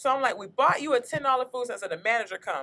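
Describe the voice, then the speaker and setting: Raising and projecting her voice, a woman speaks very fast at a high pitch, in a bright, sharp, animated tone. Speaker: comedian, podcast host. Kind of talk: storytelling in casual podcast chat. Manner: loud.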